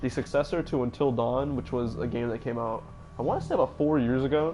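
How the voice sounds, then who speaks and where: Music in the background under a man's voice at a medium pitch. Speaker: gaming streamer. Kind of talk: live stream commentary. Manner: casual, hesitant.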